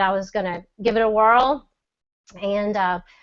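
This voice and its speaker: Speaking in a Southern accent, a woman uses a medium pitch. Her pace is moderate and her intonation fairly even. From US South, Mississippi. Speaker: e-commerce seller. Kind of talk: testimony. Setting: video call.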